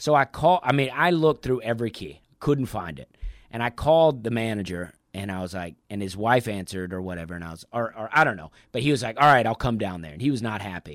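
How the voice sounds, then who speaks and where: A man's medium-pitched voice with an American accent at a very fast pace, with very wide pitch swings and big swings in loudness, on a very clean recording with a silent background. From US South, Alabama (Opelika). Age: 30s. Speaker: stand-up comedian. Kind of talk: casual interview chat.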